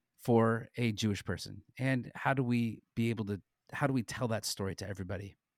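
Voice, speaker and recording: An American-accented man speaks in a plain, everyday voice at medium pitch and a moderate pace, with ordinary pitch variation, on a very clean, silent recording that sounds dry and close with no echo. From Southern California. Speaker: ministry co-founder and teacher. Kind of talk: podcast interview.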